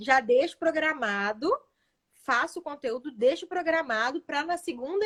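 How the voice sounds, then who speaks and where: With lively intonation, a woman speaks at a high pitch in a dry, close sound with no echo. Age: 20s. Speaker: social media manager and online seller. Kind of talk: live stream interview.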